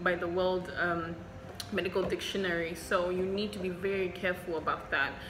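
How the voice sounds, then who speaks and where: There is noticeable background noise and audible room echo as a woman with a Zimbabwean accent talks fairly quickly in a monotone, flat intonation. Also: medium pitch for a woman. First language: Shona. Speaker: doctor and medical vlogger. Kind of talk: Q&A vlog. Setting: hospital.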